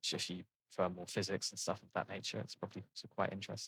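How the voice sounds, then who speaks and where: Recorded with a dry, close sound with no echo, a man with an English accent speaks at a fairly quick pace. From England. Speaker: gaming video creator. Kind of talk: casual gameplay commentary. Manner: halting, many fillers and restarts.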